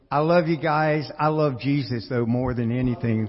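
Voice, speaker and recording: An unremarkable speaking voice, a man talks at a moderate pace with medium pitch and fairly even intonation. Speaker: congregation member sharing testimony. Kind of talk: testimony. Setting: church.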